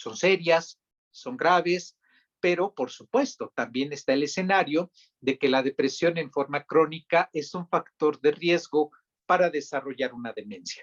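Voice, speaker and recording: At a fairly slow pace, a man with an ordinary speaking voice talks with fairly high pitch and ordinary pitch variation. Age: young. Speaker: psychiatrist. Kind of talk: interview.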